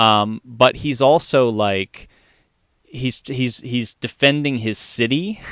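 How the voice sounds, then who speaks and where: A man of medium pitch speaks at a very slow pace in an American accent. The sound is dry and close, with no echo. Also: ordinary pitch variation. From US, Maryland (Columbia). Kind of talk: casual chat.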